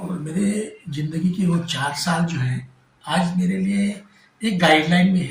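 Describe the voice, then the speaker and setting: A man's high voice holds a fairly even intonation as he talks. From Maharashtra. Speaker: folk singer. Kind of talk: interview. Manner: halting.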